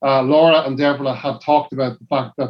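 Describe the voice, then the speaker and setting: Speaking fairly quickly with a Dublin accent, a man uses a fairly high voice and monotone, flat intonation. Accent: Dublin Irish. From Dublin, Ireland. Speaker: cycling team manager. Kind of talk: casual chat.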